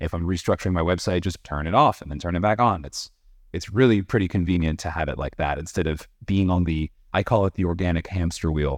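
A man's very deep, low, resonant voice at a very fast pace, with ordinary pitch variation and a quiet background. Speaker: voiceover artist. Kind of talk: casual interview. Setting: video call.

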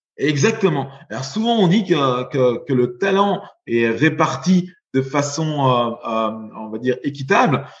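At a very slow pace, a man with a fairly high pitch and somewhat breathy voice speaks with lively intonation. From Belgium. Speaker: venture capital investor. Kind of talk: interview.

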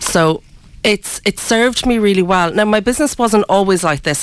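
The speaker has an Irish accent and ordinary pitch variation. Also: woman. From Ireland. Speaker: sustainable fashion designer. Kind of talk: radio interview. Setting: radio studio. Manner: hesitant, many fillers.

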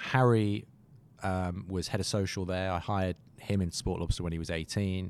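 In a British accent, a man with a fairly low pitch speaks at a moderate pace. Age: 30s. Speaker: marketing agency co-founder. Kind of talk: interview conversation.

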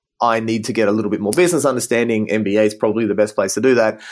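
Using an Australian accent, a man talks at a very fast pace. His voice is fairly low with fairly even intonation. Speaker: business design director. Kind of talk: interview.

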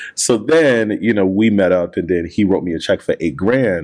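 The man speaks with an American accent in a fairly low pitch. His intonation is lively. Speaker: community founder and CEO. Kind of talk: casual interview chat. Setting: in person at a shop. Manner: calm, even-toned.

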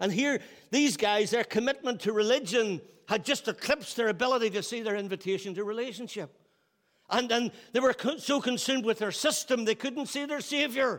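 On a very clean recording with a silent background, a man with a Northern Irish accent speaks at a fairly quick pace in an extremely high voice with ordinary pitch variation. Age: 60s. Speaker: pastor. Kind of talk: sermon. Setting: church.

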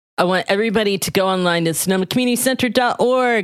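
A woman with an American accent and an ordinary speaking voice, at a fairly quick pace with ordinary pitch variation, in a dry, close sound with no echo. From US South. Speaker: podcast host. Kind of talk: casual interview; promotional announcement.

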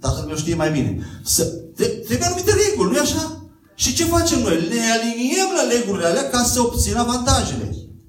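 Amid noticeable background noise and audible room echo, a man speaks at a fairly quick pace in an extremely high pitch. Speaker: guest preacher. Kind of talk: sermon. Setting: church.

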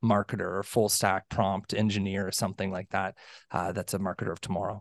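Against a quiet background, a man speaks at a fairly quick pace in a fairly low pitch, the sound dry and close with no echo. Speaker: podcast co-host. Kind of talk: interview. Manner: halting.

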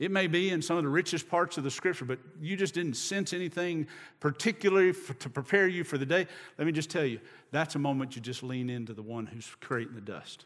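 Lively in intonation, a man talks at a fairly quick pace with a fairly high pitch. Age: 50s. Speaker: preacher. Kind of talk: sermon. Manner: animated.

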